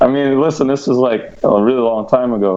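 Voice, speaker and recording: Noticeable background noise sits under a man who speaks with ordinary pitch variation and a moderate pace. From Canada. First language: Polish. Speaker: former band vocalist. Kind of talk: casual livestream Q&A. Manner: halting.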